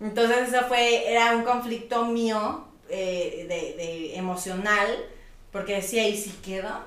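Through audible room echo and noticeable background noise, a voice speaks at a very slow pace with ordinary pitch variation. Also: woman, fairly high pitch for a woman. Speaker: former reality show contestant and influencer. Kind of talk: casual interview chat.

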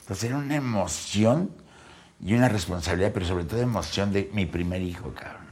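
A man with a fairly low pitch speaks at a fairly quick pace in an animated tone. His pitch varies in an ordinary way, and there is audible room echo. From Mexico City. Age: 60s. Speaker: comedian. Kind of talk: casual chat.

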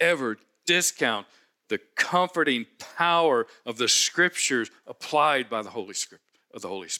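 With an American accent and a normal speaking voice, a man talks at a fairly slow pace with lively intonation, the sound dry and close with no echo on a very clean recording with a silent background. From US Midwest, Cincinnati. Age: 60s. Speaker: pastor. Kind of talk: sermon.

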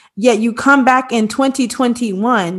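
In a quiet setting, the woman talks, her pitch rising and falling in an ordinary way. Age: 30s. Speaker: podcast co-host and teacher. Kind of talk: casual chat.

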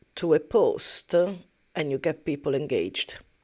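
A woman's fairly low voice at a fairly slow pace on a very clean recording with a silent background. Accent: Italian. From Italy. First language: Italian. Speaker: podcast co-host, massage therapist. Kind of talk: casual chat.

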